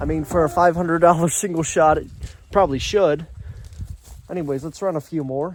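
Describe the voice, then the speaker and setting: Loud and enthusiastic, a man with a high pitch talks at a fairly quick pace, broken by long, frequent pauses. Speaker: outdoors YouTuber reviewing firearms. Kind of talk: product review. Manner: casual, enthusiastic; a little loud.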